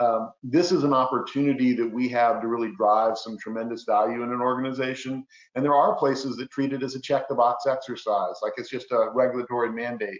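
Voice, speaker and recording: A man talks at a fairly quick pace, medium in pitch, with fairly even intonation. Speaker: compliance executive and guest speaker. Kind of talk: webinar presentation. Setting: virtual webinar. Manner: fast.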